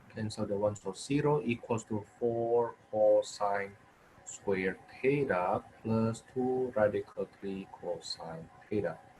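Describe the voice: At a slow pace, a man with a fairly low pitch and a slightly husky edge speaks in a slightly mellow tone with ordinary pitch variation.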